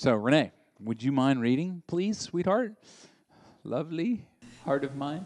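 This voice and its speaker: A man in a Southern US accent talks at a moderate pace in a fairly high pitch. His animated tone brings very wide pitch swings against a quiet background. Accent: Southern American. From US South. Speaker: pastor. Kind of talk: sermon. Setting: church.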